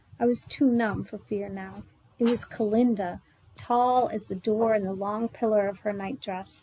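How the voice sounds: Delivered in a natural reading voice, the speech keeps a fairly even intonation.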